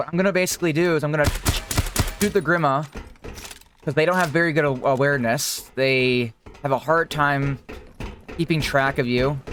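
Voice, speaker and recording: Against noticeable background noise, the speech moves at a fairly quick pace with long, frequent pauses. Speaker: gaming youtuber. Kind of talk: gameplay tutorial commentary. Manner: loud; casual.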